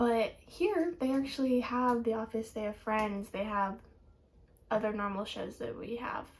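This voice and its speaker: At a moderate pace, a woman with an American accent talks in a somewhat breathy, fairly high voice with ordinary pitch variation. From United States. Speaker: student vlogger. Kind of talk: casual vlog.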